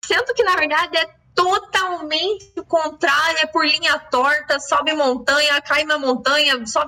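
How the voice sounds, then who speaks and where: In a raised, projected voice at a high pitch, a woman speaks at a fairly slow pace with hardly any pauses, ordinary pitch variation and very even loudness, over noticeable background noise. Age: young. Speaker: podcast host. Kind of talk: casual chat.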